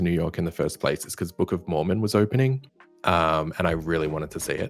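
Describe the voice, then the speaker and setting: In an Australian accent, a man talks at a fairly quick pace with a very deep, low pitch and ordinary pitch variation. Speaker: animator and content creator. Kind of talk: casual chat.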